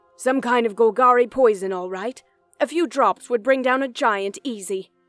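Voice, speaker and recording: Faint music plays in the background as a woman does a high-pitched, put-on character voice at a moderate pace. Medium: read story. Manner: suspicious, needling.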